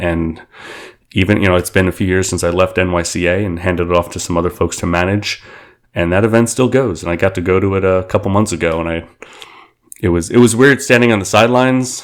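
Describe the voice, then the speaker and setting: A man's very deep, low voice with a New York accent, very fast in pace with ordinary pitch variation. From Queens, New York City. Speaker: aviation community figure. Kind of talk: interview.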